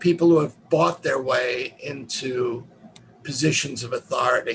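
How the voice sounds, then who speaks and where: A man with a New York accent at a fairly slow pace, with noticeable background noise. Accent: New York American. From US, New York City (Manhattan). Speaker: professor. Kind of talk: lecture.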